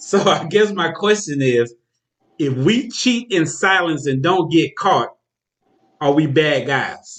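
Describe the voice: At a slow pace, a man with a fairly high pitch and fairly bright tone speaks with lively intonation.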